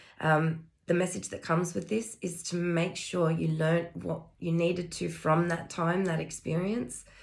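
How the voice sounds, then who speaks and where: A woman speaks with a fairly low pitch and vocal fry. Her intonation is fairly even and there are hardly any pauses. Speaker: spiritual energy reader. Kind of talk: intuitive energy reading monologue. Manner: hesitant with fillers.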